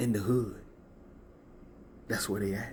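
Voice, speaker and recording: A man with a fairly low voice speaks amid audible room echo. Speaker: spiritual content creator. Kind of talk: motivational talk to camera. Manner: animated.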